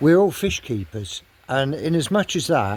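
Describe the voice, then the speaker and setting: Very wide pitch swings mark this man's speech. He has an English accent. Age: 70s. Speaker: koi keeper. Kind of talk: casual chat.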